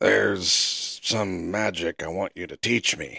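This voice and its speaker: Raspy and very deep, a man's put-on character voice moves at a fairly slow pace. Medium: read story.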